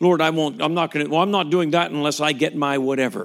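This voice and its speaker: On a very clean recording with a silent background, a man with an unremarkable speaking voice, fairly high in pitch, talks at a fairly quick pace. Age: 50s. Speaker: pastor. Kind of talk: sermon.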